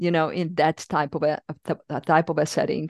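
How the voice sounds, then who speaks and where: With a Czech accent and fairly even intonation, a woman is recorded with a dry, close sound with no echo over a quiet background. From Czech Republic. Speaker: yoga teacher and therapist. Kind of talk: casual interview conversation.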